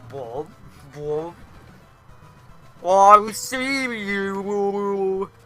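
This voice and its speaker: Faint music plays in the background as a man uses a put-on character voice with a high pitch. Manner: silly, put-on.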